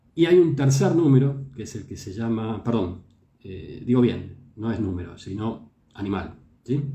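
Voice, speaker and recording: A man speaks at a fairly slow pace with a medium pitch and a dark, mellow, somewhat breathy tone. His intonation is lively, and the room echo is audible. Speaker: traditional Chinese medicine teacher and show host. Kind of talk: lecture. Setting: live stream.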